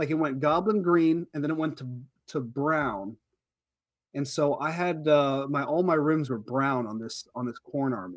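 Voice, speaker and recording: This man has an ordinary speaking voice. His fairly high pitch shows ordinary pitch variation. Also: moderate pace. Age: 40s. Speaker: wargaming podcast co-host. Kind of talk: casual chat.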